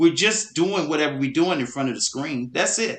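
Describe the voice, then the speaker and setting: Loud and fairly quick, a man speaks with ordinary pitch variation. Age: young. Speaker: podcast co-host. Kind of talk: casual chat. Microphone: far from the mic.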